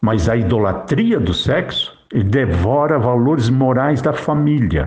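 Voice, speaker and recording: A man talks at a fairly slow pace with vocal fry. His pitch sits in the middle range, and his intonation is lively. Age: 60s. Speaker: lay preacher. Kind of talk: religious monologue. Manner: emphatic.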